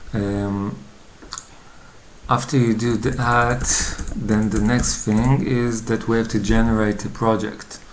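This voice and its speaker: The speaker has a non-native accent and talks at a very slow pace with long, frequent pauses. Noticeable background noise runs underneath. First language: not English. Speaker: coding tutorial youtuber. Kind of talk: tutorial. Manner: hesitant, many fillers.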